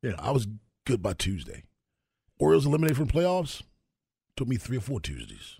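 With long, frequent pauses breaking up a fairly quick pace, a man talks in an animated tone, his pitch swinging very widely and his voice somewhat breathy. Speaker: sports radio host. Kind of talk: casual sports talk radio. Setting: radio studio.

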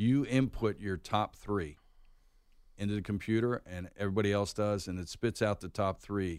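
A normal speaking voice from a man at fairly low pitch, with fairly even intonation, on a very clean recording with a silent background. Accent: American. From Pittsburgh, Pennsylvania. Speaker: college bowl game executive. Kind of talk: radio interview, casual chat. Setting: studio.

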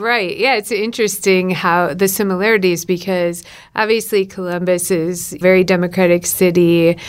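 Speaking with an American accent, a woman keeps a moderate pace, medium pitch, fairly even intonation and very even loudness. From Wisconsin, rural Shawano County. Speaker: newspaper executive editor. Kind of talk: interview.

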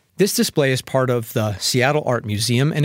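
Over a silent background in a very clean recording, a man with a plain, everyday voice talks at medium pitch with lively intonation. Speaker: radio preacher. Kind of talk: sermon. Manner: formal.

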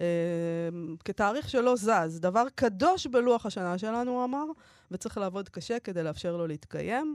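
A woman talks at a moderate pace with lively intonation and a fairly high pitch, leaving long, frequent pauses. The sound is dry and close with no echo, over a quiet background. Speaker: radio host. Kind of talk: casual chat. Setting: studio.

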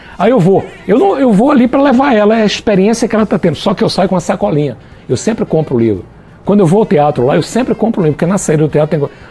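A man's high voice at a very fast pace, with very wide pitch swings and very even loudness, over noticeable background noise. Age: 60s. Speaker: business consultant and author. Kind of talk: interview. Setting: studio, also streamed live on Facebook.

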